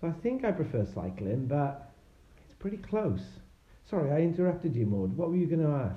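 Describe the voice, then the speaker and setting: Amid audible room echo, a man with a Welsh accent speaks at a fairly quick pace and fairly high pitch with very wide pitch swings. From Wales. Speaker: tech worker, parent guest. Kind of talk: casual chat. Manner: hesitant, many fillers.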